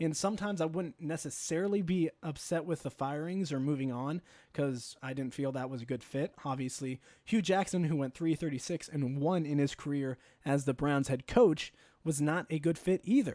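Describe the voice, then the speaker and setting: A man with a dark, mellow tone and ordinary pitch variation, in a very clean recording with a silent background. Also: fairly high pitch for a man. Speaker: sports fan reacting to a TV segment. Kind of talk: reaction commentary. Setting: live stream. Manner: fast; animated.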